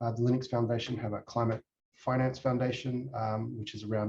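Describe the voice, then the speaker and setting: A somewhat breathy man with an Australian accent talks at a fairly quick pace. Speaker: tech company executive. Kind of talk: conference presentation. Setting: presentation to a user group. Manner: halting, many fillers.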